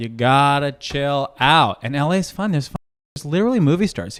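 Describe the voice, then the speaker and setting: Very wide pitch swings mark this animated, very fast delivery in an American accent. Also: man, very clean recording, silent background. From New York. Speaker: comedian and podcast host. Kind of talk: casual chat.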